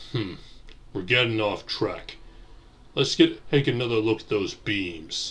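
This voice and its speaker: Using a put-on character voice at medium pitch, a man speaks fairly slowly with long, frequent pauses. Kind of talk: audio drama with several character voices.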